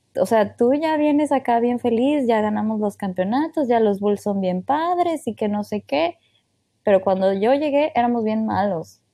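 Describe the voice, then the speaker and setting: Dark, mellow tone at a fairly slow pace, with lively intonation. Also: woman, fairly high pitch for a woman. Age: 20s. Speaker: podcast co-host. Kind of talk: casual chat. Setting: remote recording from home.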